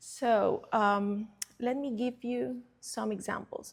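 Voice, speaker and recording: A woman with a Cuban accent speaks at a fairly high pitch. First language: Spanish. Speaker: curator. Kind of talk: presentation talk. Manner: halting.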